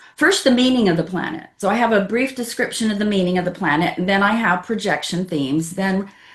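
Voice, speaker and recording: Somewhat breathy, medium-pitched speech from a woman. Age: 70s. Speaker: astrologer and author. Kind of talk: interview conversation.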